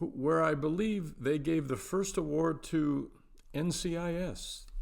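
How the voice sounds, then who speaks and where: A man with an American accent at a high pitch, ordinary pitch variation and a fairly slow pace, amid audible room echo. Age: 70s. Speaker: vlogger. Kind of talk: casual vlog monologue with humor.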